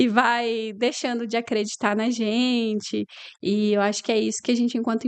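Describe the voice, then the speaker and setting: Dry and close with no echo, a woman's fairly high-pitched voice holds a monotone, flat intonation at a moderate pace. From Paraná, Brazil (Umuarama, interior). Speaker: lawyer and business owner. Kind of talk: interview conversation.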